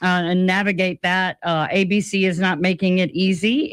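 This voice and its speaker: In an American accent, a woman has an unremarkable speaking voice at medium pitch and speaks at a fairly slow pace. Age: 40s. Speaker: radio host. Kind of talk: radio talk show.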